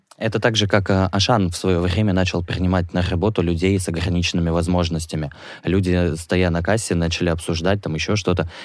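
A man speaks with a very deep, low pitch in a monotone, flat intonation. The recording is very clean, with a silent background. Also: fairly quick pace. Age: 20s. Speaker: HIV activist, model and actor. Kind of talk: interview testimony. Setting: studio.

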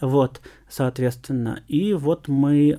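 On a very clean recording with a silent background, a man speaks at a fairly high pitch in a dark, mellow tone. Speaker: university lecturer, geographer. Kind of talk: interview. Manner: hesitant, many fillers.

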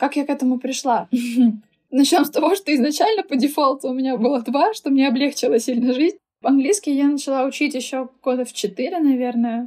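The voice has a dark, mellow tone, moves at a fairly quick pace, and shows ordinary pitch variation. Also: woman, high pitch for a woman. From Russia, Saint Petersburg. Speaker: linguist and German teacher. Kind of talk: casual chat.

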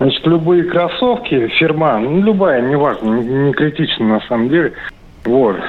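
The pace is fairly slow, and the pitch swings very widely. Noticeable background noise sits behind the speech. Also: man, fairly high pitch for a man, very even loudness. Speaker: caller. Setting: phone call.

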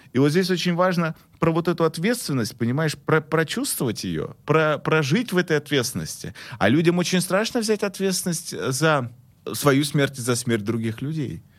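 A man's unremarkable speaking voice, fairly high in pitch, with lively intonation at a moderate pace, on a very clean recording with a silent background. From Russia, Omsk. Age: 30s. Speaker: marketing consultant and author. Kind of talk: casual chat.

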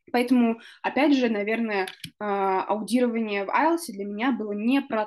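Here is a woman with a normal speaking voice. It's fairly high in pitch, and she talks at a moderate pace. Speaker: podcast host. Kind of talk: casual chat.

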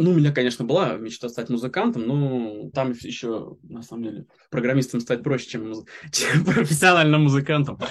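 A man at medium pitch speaks at a moderate pace with ordinary pitch variation and big swings in loudness. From Moscow region, Russia. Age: 30s. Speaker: software developer. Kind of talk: interview. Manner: halting.

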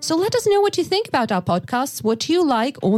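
A woman with a Russian accent, very wide pitch swings, and noticeable background noise. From Yakutia, Russia. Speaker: podcast host for English learners. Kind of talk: casual chat.

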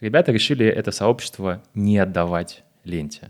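Recorded very cleanly against a silent background, a man with an unremarkable speaking voice talks at a moderate pace and a fairly low pitch. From Moscow, Russia. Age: 20s. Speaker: agency co-owner and director. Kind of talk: interview. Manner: casual.

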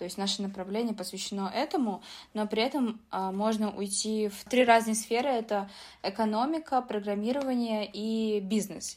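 An ordinary speaking voice moves at a moderate pace with ordinary pitch variation, in a very clean recording with a silent background. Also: woman. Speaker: business informatics student and IT employee. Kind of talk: interview.

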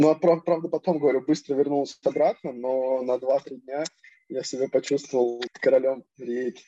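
With a dark, mellow tone and fairly high pitch, a man talks at a moderate pace with fairly even intonation in a dry, close sound with no echo. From Russia. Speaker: professional footballer. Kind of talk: casual interview.

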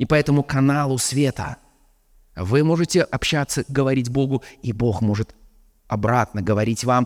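With lively intonation and a moderate pace, an unremarkable speaking voice comes through in a dry, close sound with no echo on a very clean recording with a silent background. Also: man. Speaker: preacher. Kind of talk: sermon.

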